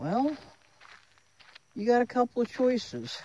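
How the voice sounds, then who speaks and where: The speaker uses an American accent, talks at a fairly slow pace, and lets the pitch swing very widely. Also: woman. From Florida. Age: 70s. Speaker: vlogger. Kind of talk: casual monologue vlog. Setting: outdoors. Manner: animated.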